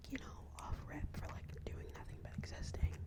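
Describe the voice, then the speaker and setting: A whispering woman at a fairly quick pace over noticeable background noise. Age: 20s. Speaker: college student. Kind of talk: ASMR whisper ramble. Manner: whispered.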